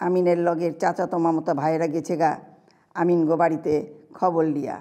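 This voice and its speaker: Fairly low for a woman, her voice has a dark, mellow tone and monotone, flat intonation. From Old Dhaka, Bangladesh. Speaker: writer. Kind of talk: reading own story.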